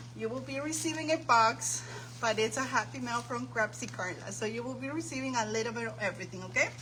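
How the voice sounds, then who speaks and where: Noticeable background noise and audible room echo surround a woman as she talks. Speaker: craft livestream host. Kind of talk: live stream chat. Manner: animated.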